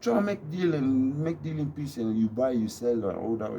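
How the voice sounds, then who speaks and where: The speaker keeps a moderate pace. Pitch swings very widely throughout. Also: man. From DR Congo. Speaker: YouTube vlogger. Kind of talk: casual monologue vlog.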